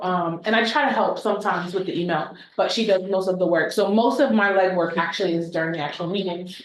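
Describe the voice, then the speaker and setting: With ordinary pitch variation, a woman's voice carries audible room echo. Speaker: teacher, meeting recording secretary. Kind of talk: short self-introduction at a meeting. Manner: soft-spoken.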